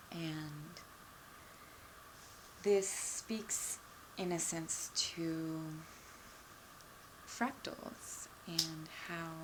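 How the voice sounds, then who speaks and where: A woman speaks at a very slow pace, her pitch fairly low and its variation ordinary. Long, frequent pauses break up her speech over noticeable background noise. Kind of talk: casual talk to camera, soft-spoken explanation. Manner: soft-spoken, relaxed.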